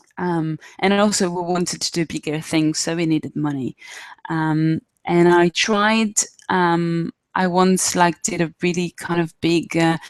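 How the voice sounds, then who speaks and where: The speaker has a strong Israeli accent and talks at a fairly slow pace with fairly even intonation. The sound is dry and close, with no echo. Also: woman, fairly low pitch for a woman. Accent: Israeli accent, self-described as strong. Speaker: arts fundraising trainer. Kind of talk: online workshop presentation. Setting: live video webinar. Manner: hesitant, many fillers.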